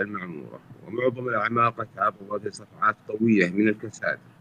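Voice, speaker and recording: With an Arabic accent, a man speaks at medium pitch and a moderate pace, the sound dry and close with no echo. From Saudi Arabia. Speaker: business executive. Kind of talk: formal conference speech.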